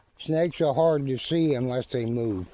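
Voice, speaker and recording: A man at a medium pitch and a fairly slow pace, with noticeable background noise. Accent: rural Southern US. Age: 70s. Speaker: vlogger. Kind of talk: casual narration while walking. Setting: outdoors in forest. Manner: slow, unhurried.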